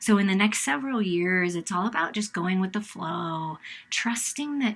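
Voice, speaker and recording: A woman's somewhat breathy, medium-pitched voice in a very clean recording with a silent background. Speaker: tarot card reader. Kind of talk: tarot reading.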